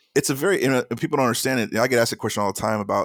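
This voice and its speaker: This man talks at a very fast pace with an American accent and ordinary pitch variation. The recording is very clean, with a silent background and a dry, close sound that has no echo. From Chicago. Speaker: auction news website founder. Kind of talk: interview. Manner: halting.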